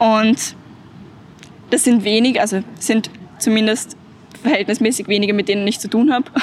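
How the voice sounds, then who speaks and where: A woman speaks at a fairly slow pace, her pitch fairly high. Noticeable background noise sits behind her. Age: 20s. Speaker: climate activist. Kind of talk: interview.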